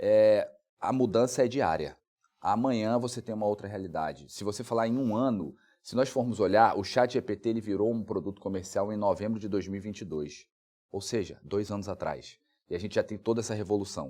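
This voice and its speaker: Fairly low in pitch, a man talks fairly quickly in a dark, mellow tone with ordinary pitch variation. The recording is very clean and the background silent. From Brazil, Rondônia. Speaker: lawyer and legal researcher. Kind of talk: interview.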